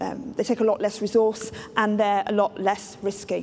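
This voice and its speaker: Light background noise is present. Over it, a woman speaks at a moderate pace. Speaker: keynote speaker. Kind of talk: lecture. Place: stage.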